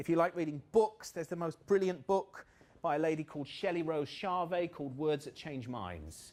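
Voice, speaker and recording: In a southern English accent, a man with fairly high pitch talks at a moderate pace with lively intonation. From southern England, Buckinghamshire. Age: 40s. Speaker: motivational trainer. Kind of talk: workshop talk. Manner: animated.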